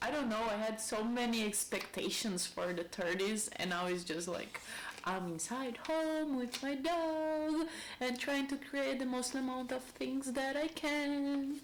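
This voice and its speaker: With a Brazilian accent, a high-pitched woman speaks at a fairly slow pace with lively intonation, amid noticeable background noise and audible room echo. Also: very even loudness. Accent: Brazilian accent, non-native English. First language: Portuguese. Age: 30s. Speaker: lifestyle vlogger. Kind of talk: casual monologue.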